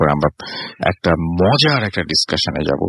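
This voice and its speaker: A man speaks in a very deep, low voice with ordinary pitch variation. Noticeable background noise runs through the clip. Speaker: radio host. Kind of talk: radio horror show hosting.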